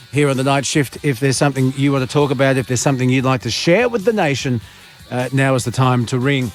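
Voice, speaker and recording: Music plays in the background as a man talks very fast at medium pitch. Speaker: late-night radio host. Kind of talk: radio show host talk. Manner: dry, humorous.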